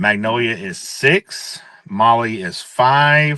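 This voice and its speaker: A man with a Mississippi accent, medium pitch and a bright, sharp tone, with ordinary pitch variation over a quiet background. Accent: Southern US (Mississippi). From US South, Hattiesburg, Mississippi. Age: 30s. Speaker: livestock and horse sale announcer. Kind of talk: podcast interview. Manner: loud.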